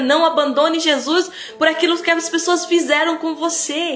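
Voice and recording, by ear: A woman's animated voice at a moderate pace, with noticeable background noise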